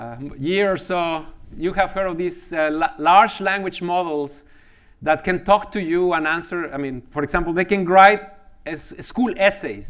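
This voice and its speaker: Using a Spanish accent, a man with a high pitch talks at a moderate pace with ordinary pitch variation. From Mexico. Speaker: mathematics professor. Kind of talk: lecture. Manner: halting, frequent repetitions and fillers.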